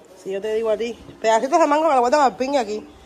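Crowd noise fills the background. A woman talks fairly quickly with a fairly high pitch. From Cuba. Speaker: family vlogger. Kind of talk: casual vlog chat. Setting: at family home. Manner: animated. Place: kitchen. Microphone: phone near.

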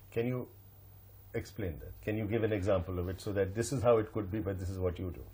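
Fairly low, dark, mellow male voice with vocal fry and ordinary pitch variation. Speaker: interviewer. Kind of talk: interview.

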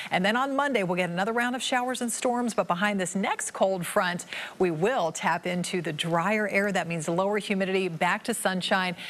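A woman speaks at a moderate pace with hardly any pauses. Her pitch variation is ordinary. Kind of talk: weather forecast presentation. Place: studio. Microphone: lapel.

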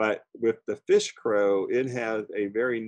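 A man with an American accent speaks at a very slow pace, the sound dry with no echo and the background quiet. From Florida. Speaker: birding instructor. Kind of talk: lecture. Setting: video call. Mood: warm, chatty. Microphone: video call.

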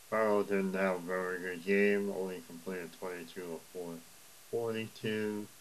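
Speaking at a fairly slow pace, a man delivers his words in a very deep, low, monotone voice with flat intonation. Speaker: league highlights show host. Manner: casual, halting with filler words.

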